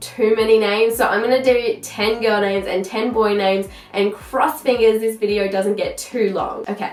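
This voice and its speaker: A woman with an Australian accent speaks at a medium pitch. Noticeable background noise and audible room echo surround her. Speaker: parenting vlogger. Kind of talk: casual vlog chat. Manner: chatty.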